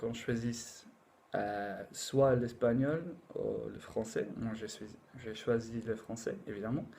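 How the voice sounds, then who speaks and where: In a room with audible echo, a man with an English accent speaks very slowly in a dark, mellow tone at a medium pitch, his loudness swinging a lot. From England. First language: English (speaking French). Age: 20s. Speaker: language learner. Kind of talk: casual talk to camera. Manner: halting, many fillers.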